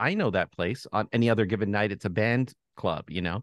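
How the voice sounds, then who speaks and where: Dry and close with no echo, a normal speaking voice moves at a fairly quick pace with ordinary pitch variation. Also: man, quiet background. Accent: Canadian. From Canada, Toronto. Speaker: journalist and author. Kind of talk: interview.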